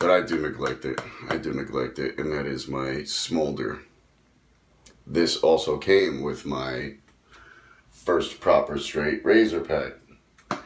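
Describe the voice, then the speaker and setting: Over light background noise and audible room echo, a man speaks at a very slow pace with long, frequent pauses. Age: 30s. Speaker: shaving hobby YouTuber. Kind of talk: casual video monologue. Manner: hesitant, many fillers. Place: bathroom. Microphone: phone near.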